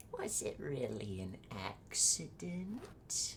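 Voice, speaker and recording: Someone whispers in a put-on character voice at a very slow pace over clear background noise. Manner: eerie, whispered.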